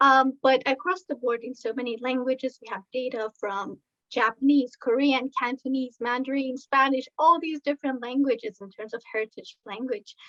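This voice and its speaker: In a slight Iranian accent, a woman speaks at a moderate pace with a high, bright and sharp tone, fairly even intonation, big swings in loudness, and a dry, close sound with no echo. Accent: slight Iranian (Persian) accent in English. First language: Farsi. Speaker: researcher. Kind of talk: presentation. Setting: online video talk.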